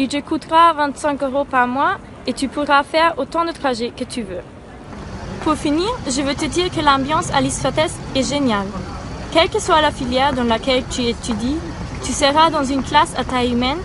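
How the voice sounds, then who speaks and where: Amid noticeable background noise, a woman with a German accent speaks at a moderate pace and a high pitch, with ordinary pitch variation and long, frequent pauses. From Austria, Vienna. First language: German (speaking French). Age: 20s. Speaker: university student. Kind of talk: promotional testimonial. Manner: enthusiastic.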